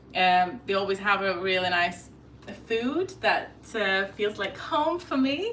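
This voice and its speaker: A woman's medium-pitched voice with a Lithuanian accent, at a very slow pace, over noticeable background noise. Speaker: lifestyle vlogger. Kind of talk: casual chat. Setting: live stream at home. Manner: hesitant.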